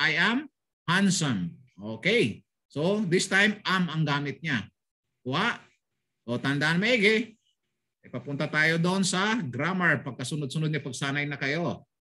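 Against a quiet background, a man with a high pitch speaks with lively intonation. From Philippines, Bulacan; Philippines. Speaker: language teacher. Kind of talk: online language lesson. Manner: animated. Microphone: video call.

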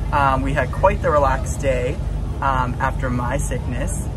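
Clear background noise can be heard while a man is speaking. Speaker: travel vlogger. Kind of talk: casual vlog chat. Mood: cheerful, laughing. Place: boat. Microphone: phone near.

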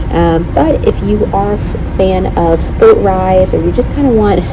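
A woman speaks against noticeable background noise. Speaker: travel vlogger. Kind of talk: casual vlog chat. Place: boat. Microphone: phone near.

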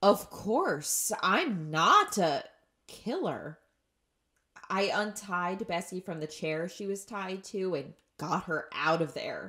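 In a put-on character voice, a woman speaks slowly at a fairly low pitch, her tone bright and sharp with a slightly husky edge and lively intonation.

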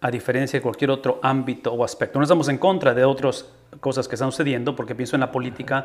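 The pace is very fast. Intonation stays fairly even. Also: man. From Tamaulipas, Mexico (Ciudad Mante); Tamaulipas, Mexico. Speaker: podcast host, pastor. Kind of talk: interview conversation. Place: home room. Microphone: studio mic.

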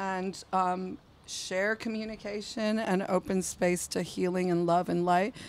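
A woman's husky voice sits at a fairly low pitch, with little pitch movement and a slightly mellow tone.

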